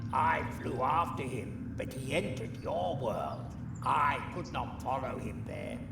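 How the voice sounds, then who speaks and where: Over loud background noise and a slight echo, a man performs a put-on character voice at a medium pitch and a fairly slow pace. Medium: video game. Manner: chatty, wry, self-deprecating.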